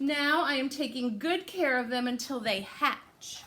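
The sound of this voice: A woman puts on a character voice, high-pitched with a bright, sharp tone, lively intonation and a fairly slow pace.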